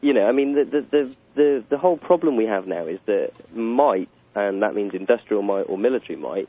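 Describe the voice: A man's fairly low voice at a fairly quick pace, with lively intonation and a dry, close sound free of echo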